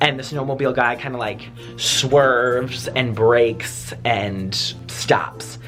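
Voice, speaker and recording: Music plays in the background as a man speaks with an American accent. His intonation is fairly even. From Wisconsin. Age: 20s. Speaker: YouTuber. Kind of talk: casual story time to camera.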